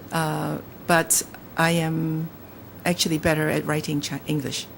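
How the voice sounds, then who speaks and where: A woman with a Cantonese accent at a very deep, low pitch, fairly slow pace, and monotone, flat intonation. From Hong Kong. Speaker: novelist. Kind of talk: interview. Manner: halting.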